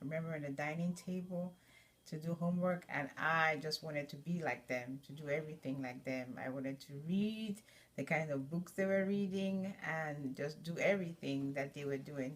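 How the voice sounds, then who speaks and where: A woman speaks at a moderate pace. Her voice is very deep and low, with ordinary pitch variation. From Nigeria. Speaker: student. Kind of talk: personal narrative. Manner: halting, many fillers.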